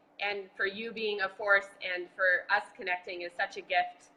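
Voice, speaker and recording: The voice, with an American accent, is a normal speaking voice. It moves at a moderate pace with fairly even intonation. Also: woman. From Boston. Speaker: marathon bombing survivor and advocate. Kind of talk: casual chat. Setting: video call.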